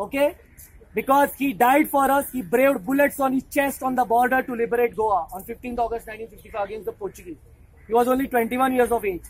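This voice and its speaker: Loud, animated speech from a woman, high in pitch and fairly quick in pace, with ordinary pitch variation. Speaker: rally speaker. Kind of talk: rally speech to students, patriotic call and response. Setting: outdoors rally with crowd. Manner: animated, loud, rousing; repetitive, emphatic. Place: street.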